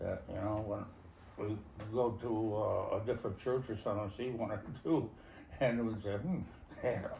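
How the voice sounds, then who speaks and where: With audible room echo, a man of medium pitch speaks with long, frequent pauses. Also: ordinary pitch variation, moderate pace. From US East Coast, Connecticut. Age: 70s. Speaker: war veteran. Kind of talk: interview.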